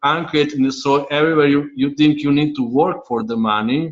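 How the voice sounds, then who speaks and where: Audible room echo follows a man who talks at a fairly quick pace. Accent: non-native. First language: not English. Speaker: money coach. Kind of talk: online class teaching. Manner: halting, words clipped.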